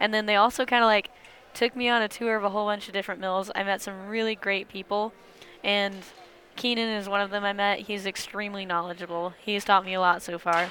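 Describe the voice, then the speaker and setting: With an American accent, a woman speaks very fast at medium pitch in a monotone, flat intonation. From US Midwest. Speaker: milling science student. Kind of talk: casual interview. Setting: conference show floor.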